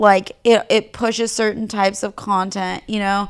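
A woman in an ordinary speaking voice, medium in pitch, fairly slow and fairly even in intonation, on a very clean recording with a silent background. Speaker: fashion blogger and Instagram creator. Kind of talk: fired-up profane pep talk, rhetorical questions to listeners.

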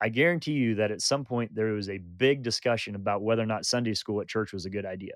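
A normal speaking voice from a man, medium in pitch with ordinary variation, at a fairly quick pace, dry and close with no echo. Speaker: podcast co-host. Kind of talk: casual conversational discussion.

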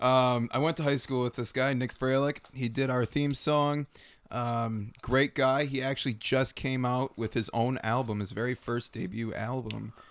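Recorded very cleanly with a silent background, a man with an unremarkable speaking voice talks at a moderate pace with fairly even intonation. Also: medium pitch for a man. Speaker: podcast host. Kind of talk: casual banter, food review. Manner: jokey, relaxed.

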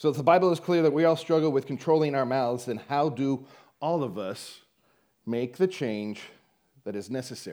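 On a very clean recording with a silent background, a man talks at a moderate pace with long, frequent pauses, his fairly high voice carrying a dark, mellow tone and ordinary pitch variation. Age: 40s. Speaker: lay church teacher. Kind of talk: sermon.

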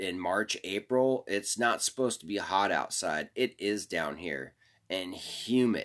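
On a very clean recording with a silent background, a man speaks at a very deep, low pitch with ordinary pitch variation. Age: 40s. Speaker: podcast host. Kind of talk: casual monologue. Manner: animated.

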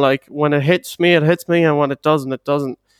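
A man with a western Irish accent speaks fairly quickly in a fairly high pitch, with fairly even intonation. The recording is very clean and dry, close with no echo, over a silent background. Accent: Irish (western Ireland). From Ireland, Galway. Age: 20s. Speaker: podcast guest. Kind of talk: casual chat.

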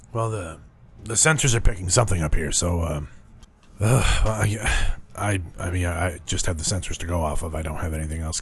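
Putting on a character voice, a man speaks with a very deep, low pitch and a raspy quality. He moves at a fairly quick pace with ordinary pitch variation. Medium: actual play. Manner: hesitant, stammering.

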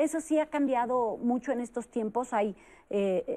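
On a very clean recording with a silent background, a woman keeps a moderate pace. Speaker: psychologist. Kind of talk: panel discussion. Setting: studio.

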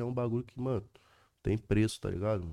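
A man talks at a medium pitch with a dark, mellow tone and ordinary pitch variation. The recording is very clean, with a silent background. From Rio de Janeiro, Brazil. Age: 20s. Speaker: drill rapper. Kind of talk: casual chat.

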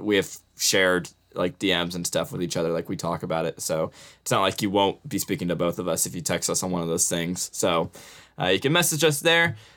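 A man talks at a very fast pace, his bright, sharp tone making very wide pitch swings. The recording is very clean, with a silent background. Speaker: podcast co-host. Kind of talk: casual chat. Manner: low-energy.

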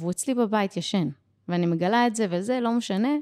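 On a very clean recording with a silent background and a dry, close sound with no echo, a woman talks at a fairly quick pace with lively intonation. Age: 30s. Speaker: business and life coach. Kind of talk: podcast interview. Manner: energetic.

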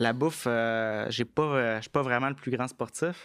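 A man talks at a very slow pace in a medium pitch with fairly even intonation. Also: very clean recording, silent background. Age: 20s. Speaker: tech entrepreneur. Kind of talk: casual interview. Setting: studio.

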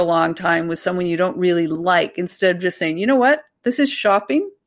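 Lively in intonation, a woman speaks at a fairly low pitch on a very clean recording with a silent background. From Canada. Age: 50s. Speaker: author and journalist. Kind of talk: casual interview chat.

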